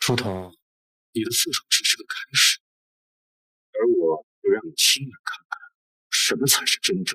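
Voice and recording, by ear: A man puts on a character voice of medium pitch, bright and sharp with a slightly husky edge and big pitch swings. He moves at a moderate pace, leaving long, frequent pauses.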